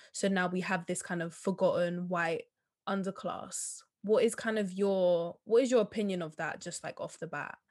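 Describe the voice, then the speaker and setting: Here is a normal speaking voice at a moderate pace, with fairly even intonation. The recording is very clean, the background silent. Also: woman, medium pitch for a woman. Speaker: podcast host. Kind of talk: interview conversation.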